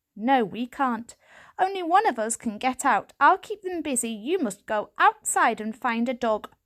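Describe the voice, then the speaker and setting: A woman puts on a high-pitched character voice, talking at a moderate pace over a quiet background. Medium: read story. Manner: calm, firm, commanding.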